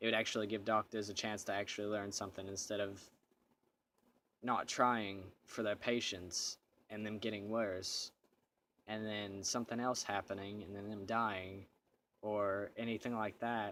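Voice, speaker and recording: Bright, sharp tone in a monotone, flat intonation, at a moderate pace with long, frequent pauses. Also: man, fairly low pitch for a man, very clean recording, silent background. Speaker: vlogger. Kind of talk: casual monologue. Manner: halting, stutters at times.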